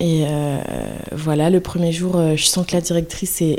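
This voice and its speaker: Noticeable background noise sits behind a woman speaking at a moderate pace. Her voice is fairly low, with fairly even intonation. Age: 20s. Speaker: early childhood educator. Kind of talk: interview. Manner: halting.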